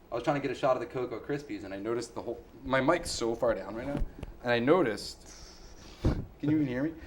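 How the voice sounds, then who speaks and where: Very fast speech with ordinary pitch variation. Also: man, medium pitch for a man. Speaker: public access comedy show co-host. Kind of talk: casual chat. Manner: loud.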